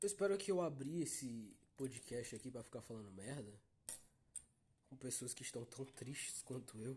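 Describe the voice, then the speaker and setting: A dark, mellow tone comes through somewhat breathy, with lively intonation at a moderate pace. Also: man, medium pitch for a man. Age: young. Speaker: podcast host. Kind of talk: casual monologue.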